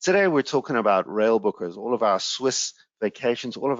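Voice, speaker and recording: A man talks with a South African accent. His pace is moderate. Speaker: sales executive presenting a travel webinar. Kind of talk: webinar presentation. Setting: online webinar. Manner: hesitant, frequent fillers.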